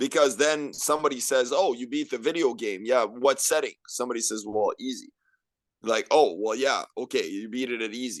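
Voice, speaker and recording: A man with a plain, everyday voice and medium pitch, at a moderate pace with ordinary pitch variation, over a quiet background. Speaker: podcast guest. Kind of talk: casual podcast conversation.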